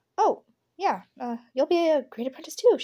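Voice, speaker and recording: In a put-on character voice, a woman squeaks at an extremely high pitch with very wide pitch swings and a moderate pace. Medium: read story.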